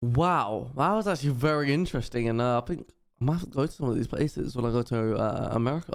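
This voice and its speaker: A man with a British accent at medium pitch, talking at a very fast pace with lively intonation. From Britain. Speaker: YouTube reactor. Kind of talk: casual video outro.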